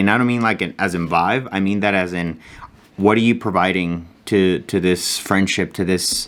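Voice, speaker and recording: An ordinary speaking voice from a man, fairly low in pitch, at a fairly quick pace. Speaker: vlogger. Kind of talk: casual vlog monologue.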